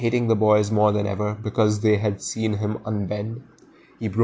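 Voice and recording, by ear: A natural voice reading aloud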